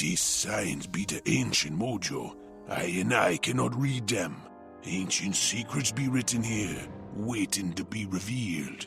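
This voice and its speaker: A man uses a put-on character voice at a fairly slow pace. Clear music plays in the background. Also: fairly low pitch for a man. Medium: machinima.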